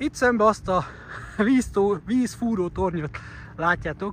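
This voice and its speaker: A man talks at a fairly slow pace while noticeable noise runs in the background. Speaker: vlogger. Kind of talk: travel vlog. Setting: outdoors. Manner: halting.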